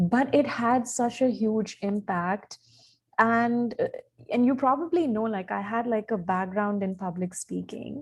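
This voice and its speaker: With an Indian accent, a woman speaks at a fairly slow pace in a fairly high, somewhat breathy voice, her pitch varying in an ordinary way, on a very clean recording with a silent background. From India, Odisha. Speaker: communications specialist and journalist. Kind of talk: podcast interview. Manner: hesitant, many fillers.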